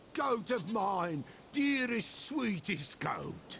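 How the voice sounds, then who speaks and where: A man uses a put-on character voice at a high pitch and a very slow pace, with clear background noise. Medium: video game. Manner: archaic riddling speech, speaks of herself in third person.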